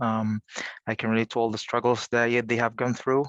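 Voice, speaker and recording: A man speaks at a medium pitch in a flat monotone, his voice dry and close with no echo against a quiet background. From Egypt. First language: Arabic. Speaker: college career services coordinator. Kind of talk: panel presentation. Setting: video call.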